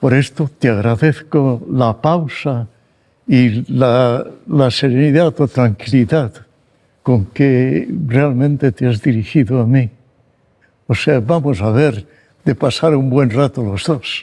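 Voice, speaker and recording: A man speaks at a very slow pace with long, frequent pauses, his medium-pitched voice dark and mellow and his pitch varying in an ordinary way. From Spain, Barcelona. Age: 90s. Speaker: psychologist. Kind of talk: interview.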